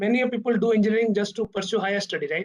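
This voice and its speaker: A man with an Odisha accent and an extremely high voice talks at a very fast pace. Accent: Odia. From India, Odisha. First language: Odia. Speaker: corporate director, alumnus speaker. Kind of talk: talk to students. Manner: halting, many fillers.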